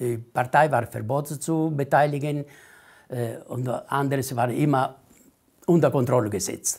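A somewhat breathy man with an Italian accent, fairly even intonation and a fairly slow pace broken by long, frequent pauses, against a quiet background. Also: fairly high pitch for a man. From Italy. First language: Italian (speaking German). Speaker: Italian immigrant association leader; interviewee. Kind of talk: oral history interview. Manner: halting, many hesitations. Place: home room. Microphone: lapel.

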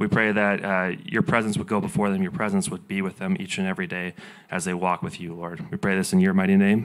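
The setting is quiet. A man talks at a fairly quick pace. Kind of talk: church announcements and prayer. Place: stage. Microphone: handheld.

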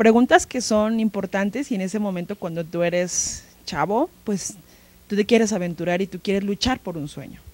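A woman at medium pitch and a moderate pace, ordinary pitch variation, big swings in loudness, dry sound with no echo. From Mexico, Tlaxcala. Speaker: museum educational curator. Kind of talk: interview. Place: studio. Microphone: handheld.

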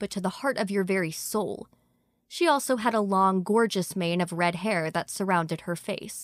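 The natural reading voice shows ordinary pitch variation and sits in a quiet background.

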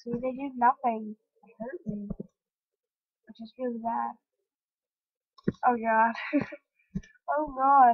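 A quiet woman with a high pitch talks at a very slow pace, leaving long, frequent pauses. Her intonation stays fairly even while her loudness swings widely. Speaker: gaming youtuber. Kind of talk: gameplay commentary.

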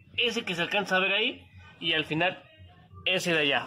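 Faint music plays in the background under speech at a moderate pace. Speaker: home car mechanic vlogger. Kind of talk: tutorial. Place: garage. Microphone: phone near.

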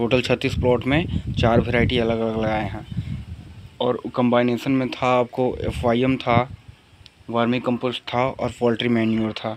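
The man talks at a moderate pace with a medium pitch. His pitch moves very little.

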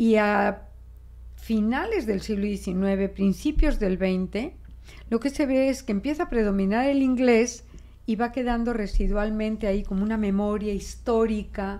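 The voice has a dark, mellow tone and a Mexican accent. It moves at a fairly slow pace with ordinary pitch variation. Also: woman, fairly high pitch for a woman. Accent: Spanish accent with Mexican features. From Spain. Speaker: linguist; guest. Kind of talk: interview. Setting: radio studio. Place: studio. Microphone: studio mic.

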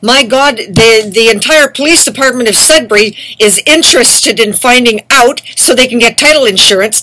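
Here a woman speaks with a high pitch. She keeps a moderate pace. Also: ordinary pitch variation. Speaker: activist vlogger. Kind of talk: angry monologue. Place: home room. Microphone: webcam.

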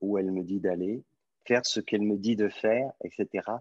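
A man with a fairly low pitch and ordinary pitch variation is heard against a quiet background in a dry sound with no echo. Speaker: spiritual teacher. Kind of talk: question and answer session. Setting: video call. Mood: calm, gentle, reflective. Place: home room. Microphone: video call.

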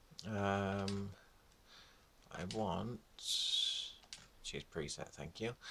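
Through noticeable background noise, a man talks at a very slow pace with long, frequent pauses and a fairly low pitch. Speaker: gamer YouTuber. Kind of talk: casual gameplay commentary with complaints. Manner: chatty, enthusiastic then grumbling.

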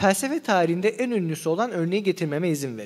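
Over a quiet background, a man with a high pitch speaks at a moderate pace, his voice making very wide pitch swings. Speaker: philosophy seminar lecturer. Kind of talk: lecture. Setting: live seminar with audience. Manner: slightly trembling voice. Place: hall. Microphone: studio mic.

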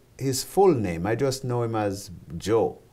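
This is a man talking. He has a Jamaican accent. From Jamaica (rural St. Elizabeth, then Kingston). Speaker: ministry founder and president; interviewee. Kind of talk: interview testimony. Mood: earnest, testimonial. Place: studio. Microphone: lapel.

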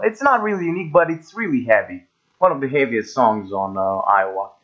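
A man's fairly high voice at a moderate pace, with very wide pitch swings and a non-native accent. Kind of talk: casual talk to camera, music ranking commentary. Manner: casual, hesitant.

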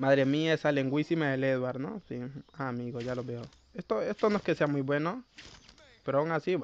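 A man with a fairly high pitch and an animated tone, a fairly quick pace broken by long, frequent pauses, in a dry, close sound with no echo. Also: ordinary pitch variation. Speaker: gaming YouTuber. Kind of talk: gameplay commentary. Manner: stumbles when talking fast; casual, animated.

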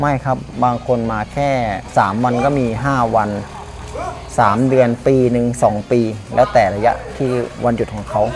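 A man's voice with fairly even intonation over clear music in the background. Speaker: gym trainer. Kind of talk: interview answer. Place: gym. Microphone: lapel.

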